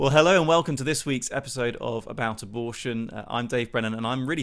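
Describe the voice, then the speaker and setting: Speaking with a British accent, a man at a medium pitch shows ordinary pitch variation on a very clean recording with a silent background. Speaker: podcast host, pro-life campaigner. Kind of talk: interview conversation.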